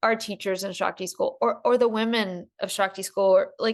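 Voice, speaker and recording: Moderate-paced speech from a woman with a slight Southern US accent against a quiet background. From US South. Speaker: podcast host. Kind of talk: casual chat.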